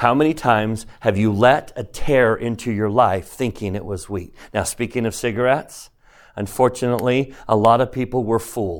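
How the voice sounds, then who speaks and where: The man has a medium pitch, ordinary pitch variation and an animated tone at a moderate pace. The recording is very clean, with a silent background. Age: 50s. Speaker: religion teacher. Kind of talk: lecture.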